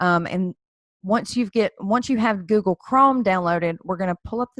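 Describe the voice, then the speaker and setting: A woman's normal speaking voice at medium pitch, with ordinary pitch variation and a dry, close sound with no echo. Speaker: credit repair tutorial creator. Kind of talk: tutorial. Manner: casual, with fillers and restarts.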